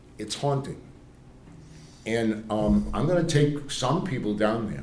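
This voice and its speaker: Audible room echo surrounds a man with an American accent who speaks fairly slowly with lively intonation. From Cambridge, Massachusetts. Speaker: priest. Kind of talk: lecture. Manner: halting.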